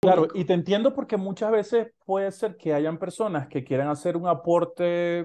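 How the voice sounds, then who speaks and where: Against a quiet background, a man's intonation is lively. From Maracaibo, Venezuela. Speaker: podcast host. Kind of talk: casual chat. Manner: halting.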